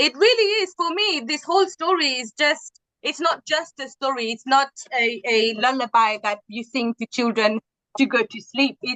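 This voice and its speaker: Raised and projected, the voice has a bright, sharp tone and lively intonation at a moderate pace. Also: woman, high pitch for a woman. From Mauritius. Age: 30s. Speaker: Chagossian community member. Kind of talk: interview.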